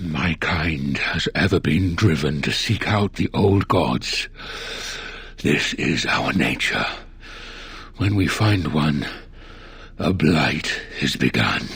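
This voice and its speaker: A put-on character voice moves at a very slow pace, with long, frequent pauses. Light background noise sits behind it. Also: man, very deep, low pitch for a man. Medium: video game. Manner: calm, measured, formal.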